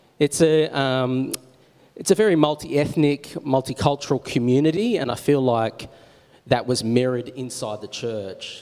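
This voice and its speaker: With an Australian accent, a man speaks at a medium pitch in a dark, mellow tone with ordinary pitch variation. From Australia, Wollongong. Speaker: church minister. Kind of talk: on-stage interview. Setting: church.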